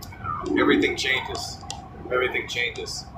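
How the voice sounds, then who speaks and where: A man's voice against noticeable background noise. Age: 30s. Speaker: vlogger. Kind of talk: personal monologue vlog. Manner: casual, halting with fillers.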